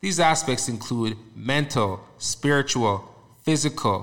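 The pace is very slow. The intonation is lively. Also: man. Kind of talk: casual interview. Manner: animated, frequent interjections.

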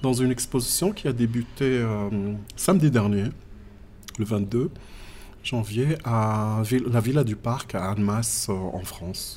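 Speaking at a medium pitch, a man goes very slowly with long, frequent pauses. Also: ordinary pitch variation. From southern Morocco (Agadir, Tiznit). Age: 40s. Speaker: visual artist. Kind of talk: interview. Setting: in person. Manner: halting.

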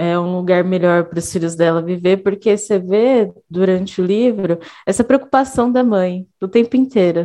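A woman with a dark, mellow tone and medium pitch speaks at a moderate pace with ordinary pitch variation and hardly any pauses. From Minas Gerais, Brazil. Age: 20s. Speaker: educator and student. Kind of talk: podcast conversation.

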